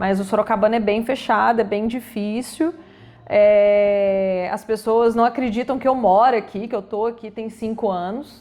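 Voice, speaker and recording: A woman's fairly high, fairly even voice at a fairly slow pace. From Minas Gerais, Brazil (Belo Horizonte). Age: 30s. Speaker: health professional with own practice. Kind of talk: interview.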